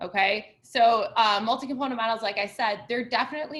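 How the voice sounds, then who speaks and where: A woman speaks at a fairly quick pace with a fairly high pitch. Her pitch varies in an ordinary way. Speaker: college instructor. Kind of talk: lecture. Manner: fast.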